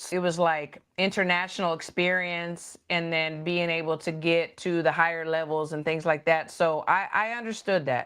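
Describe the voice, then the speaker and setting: A woman with a slight Texas accent speaks at a moderate pace in a fairly low pitch, with fairly even intonation and hardly any pauses. The background is quiet. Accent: slight country Texas. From Texas, Dallas. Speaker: boxing coach. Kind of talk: interview chat. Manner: hesitant, many fillers.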